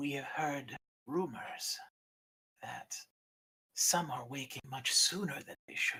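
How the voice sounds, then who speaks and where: In a put-on character voice with a low-to-middle pitch, the speaker goes at a fairly slow pace with long, frequent pauses. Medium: actual play. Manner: proud, fierce.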